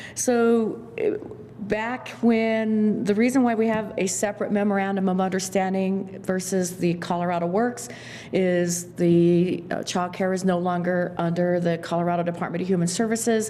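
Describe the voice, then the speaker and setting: At a moderate pace and very even loudness, the speaker uses ordinary pitch variation, with audible room echo and noticeable background noise. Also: woman, medium pitch for a woman. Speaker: county social services staff. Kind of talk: public meeting presentation. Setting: county board meeting room. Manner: halting.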